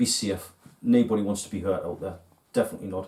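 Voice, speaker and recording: The voice has a strong Geordie accent and a dark, mellow tone. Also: man. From northern England, Newcastle (Geordie). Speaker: fishing tackle video host. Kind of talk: casual video talk to viewers.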